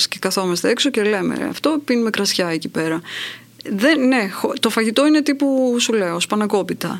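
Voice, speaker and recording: Noticeable background noise sits behind a woman speaking at a moderate pace. Her fairly high voice has lively intonation. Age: middle-aged. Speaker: podcast host, writer and journalist. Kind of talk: casual chat.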